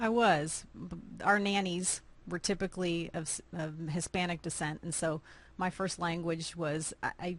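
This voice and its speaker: A woman with an American accent and an ordinary speaking voice, fairly low in pitch, with fairly even intonation over a quiet background. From Austin, Texas. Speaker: nonprofit founder. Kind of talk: interview.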